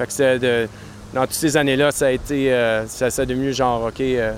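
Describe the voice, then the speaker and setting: Over noticeable background noise, a man with a medium-pitched voice speaks fairly slowly in a monotone, flat manner. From Quebec, Outaouais region (Maniwaki). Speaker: brewery owner and brewer. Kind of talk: casual interview. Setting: beer festival with DJ music.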